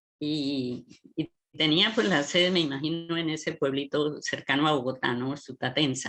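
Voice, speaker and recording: A woman's very deep, low voice, bright and sharp in tone, at a fairly slow pace. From Colombia, rural Norte de Santander (Cáchira). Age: 60s. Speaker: writer and educator. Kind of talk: radio interview. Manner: halting, with many repetitions.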